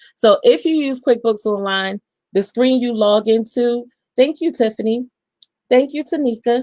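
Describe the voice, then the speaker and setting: The woman's pitch varies in an ordinary way, heard as a dry sound with no echo against a quiet background. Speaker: accountant. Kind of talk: tutorial. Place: home room. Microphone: webcam.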